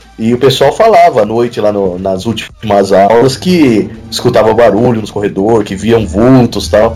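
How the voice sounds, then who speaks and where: Over music in the background, a man of medium pitch speaks at a moderate pace with ordinary pitch variation and hardly any pauses. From Brazil, São Paulo state. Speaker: podcast co-host. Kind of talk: casual chat.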